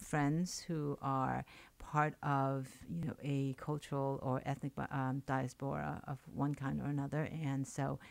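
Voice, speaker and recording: On a very clean recording with a silent background, a woman with a Chinese accent speaks very slowly at a very deep, low pitch. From China and Hong Kong, moved to New York. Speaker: poet and writer. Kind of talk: radio interview. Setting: radio studio. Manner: halting, many fillers.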